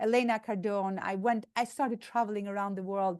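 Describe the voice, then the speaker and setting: Against a quiet background, a woman with a non-native accent speaks in a fairly high pitch with ordinary pitch variation. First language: not English. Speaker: motivational speaker, entrepreneur. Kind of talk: conference talk. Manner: animated.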